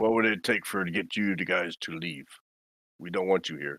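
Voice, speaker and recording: A raspy, put-on character voice at a fairly quick pace. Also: man, very deep, low pitch for a man. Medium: actual play. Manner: blunt, broken grammar.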